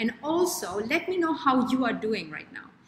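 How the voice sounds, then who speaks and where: In a room with audible echo and light background noise, a woman speaks at a moderate pace. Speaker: show host, wellness coach. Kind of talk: live stream host chat. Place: home room. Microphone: webcam.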